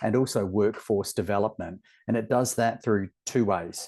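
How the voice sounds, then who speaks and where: A moderate pace against a quiet background. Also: man. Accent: Australian. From Australia. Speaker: webinar moderator. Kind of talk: webinar presentation. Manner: animated.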